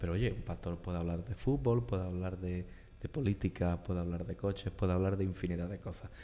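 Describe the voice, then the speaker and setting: At a fairly quick pace, a man speaks with a very deep, low pitch, a dark, mellow tone and ordinary pitch variation. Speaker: podcast host. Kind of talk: interview. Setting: church.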